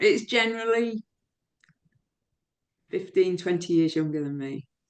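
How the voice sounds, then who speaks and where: Her intonation lively, a woman speaks at a fairly slow pace with long, frequent pauses. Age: 60s. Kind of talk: interview answer.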